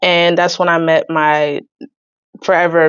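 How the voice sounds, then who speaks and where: A woman speaks in a normal speaking voice with an American accent. Her pitch is fairly low and her intonation fairly even. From New Jersey, US. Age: 20s. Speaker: saxophonist and environmental justice advocate. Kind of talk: podcast interview.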